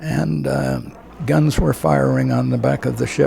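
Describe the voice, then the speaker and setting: A man with an American accent at a fairly slow pace, noticeable background noise behind him. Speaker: war veteran. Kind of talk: interview answer.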